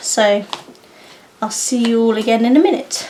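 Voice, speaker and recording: A woman with a fairly high pitch speaks at a fairly slow pace amid noticeable background noise. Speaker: craft and puzzle vlogger. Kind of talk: casual vlog chat.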